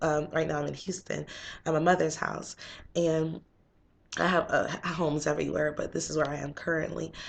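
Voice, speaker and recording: Fairly quick in pace, a woman talks at a very deep, low pitch with vocal fry. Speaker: motivational vlogger. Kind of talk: casual vlog talk. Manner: fast.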